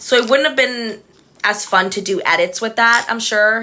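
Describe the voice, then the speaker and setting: There is noticeable background noise as a woman with an American accent speaks in an animated tone with ordinary pitch variation. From Texas, Edinburg (Rio Grande Valley). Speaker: reality TV contestant and livestreamer. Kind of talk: casual chat. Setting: livestream with friend on video call.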